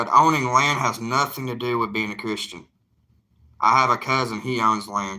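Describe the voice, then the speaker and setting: A man with a Southern US accent, bright and sharp in tone, on a very clean recording with a silent background. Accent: Southern drawl. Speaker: evangelist YouTuber. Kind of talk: casual live chat.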